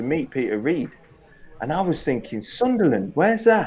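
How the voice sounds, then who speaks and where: A man with an East Midlands accent talks at a moderate pace in a high voice with very wide pitch swings. Music plays in the background. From Leicester, England. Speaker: former professional footballer. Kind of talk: interview.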